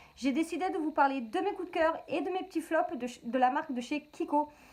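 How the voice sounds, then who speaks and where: Speaking at a moderate pace, a woman sounds animated, with ordinary pitch variation. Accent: Marseille. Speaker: beauty vlogger. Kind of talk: product review vlog. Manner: chatty, animated.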